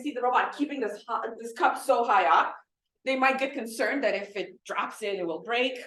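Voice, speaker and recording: A woman speaks loudly at a high pitch with a bright, sharp tone, and room echo can be heard. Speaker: robotics professor. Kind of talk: lecture.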